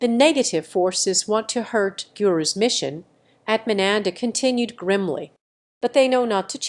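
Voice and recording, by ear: Over a quiet background, the reading aloud comes in a natural voice with ordinary pitch variation.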